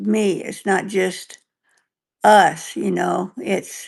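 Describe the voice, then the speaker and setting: Vocal fry marks a woman's voice over a quiet background. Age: 70s. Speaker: stroke survivor and author, podcast co-host. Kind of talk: casual chat. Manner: halting.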